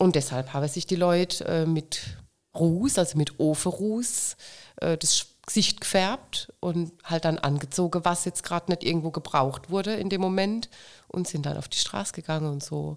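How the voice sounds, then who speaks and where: In a normal speaking voice, a woman talks at a moderate pace with fairly low pitch and ordinary pitch variation. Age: 50s. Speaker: carnival club president. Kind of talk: casual interview.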